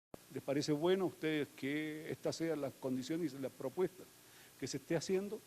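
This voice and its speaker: Fairly high-pitched for a man, with a dark, mellow tone, he talks at a fairly quick pace. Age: 60s. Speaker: panelist at film screening. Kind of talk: public talk. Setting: auditorium with audience. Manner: hesitant, many fillers.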